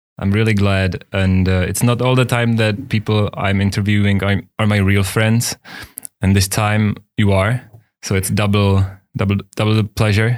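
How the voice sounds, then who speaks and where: A man with a Czech accent speaks at a fairly low pitch in a monotone, flat intonation with very even loudness, recorded very cleanly with a silent background. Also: moderate pace. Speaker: podcast host. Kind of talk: interview; scripted intro.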